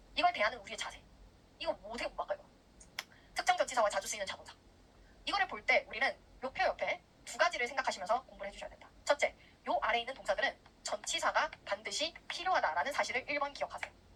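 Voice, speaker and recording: A woman talks very fast at a high pitch, with very wide pitch swings. Her loudness swings widely, broken by long, frequent pauses. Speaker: English grammar lecturer. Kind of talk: recorded online lecture. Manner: clear diction.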